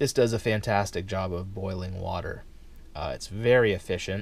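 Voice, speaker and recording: In a normal speaking voice, a man talks at a fairly quick pace with a fairly low pitch and fairly even intonation, the sound dry with no echo. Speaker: camping gear reviewer. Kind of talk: casual product demonstration. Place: home room. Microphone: camera far.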